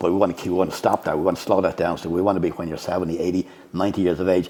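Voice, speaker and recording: In an Irish accent, a man with a very deep, low voice talks very fast in a monotone, flat delivery. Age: 60s. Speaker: bodybuilding coach and judge. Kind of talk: podcast interview.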